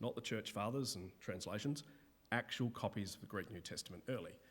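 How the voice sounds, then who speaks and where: A man at medium pitch with lively intonation and a normal speaking voice, on a very clean recording with a silent background. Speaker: Bible lecturer. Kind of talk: lecture. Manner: casual.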